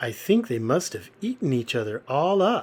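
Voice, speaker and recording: Doing a put-on character voice, a man speaks at a moderate pace in a fairly high pitch with very wide pitch swings. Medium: read story.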